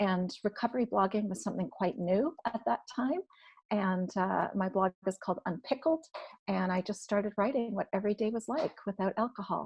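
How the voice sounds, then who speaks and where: Recorded dry and close with no echo, a woman speaks at a medium pitch with ordinary pitch variation and a somewhat breathy quality. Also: moderate pace. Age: 50s. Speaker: recovery blogger and author. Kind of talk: testimony. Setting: live-streamed online podcast panel.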